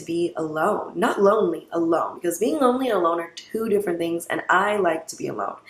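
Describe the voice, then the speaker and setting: A woman's fairly low-pitched voice at a fairly quick pace. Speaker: podcaster. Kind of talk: casual monologue. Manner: fast.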